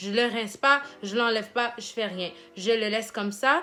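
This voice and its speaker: With music in the background, a woman with a fairly high voice and a non-native accent speaks at a fairly slow pace, her intonation fairly even. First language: English (speaking French). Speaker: hair care vlogger and nursing assistant. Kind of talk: hair care tutorial. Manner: casual, with hesitations.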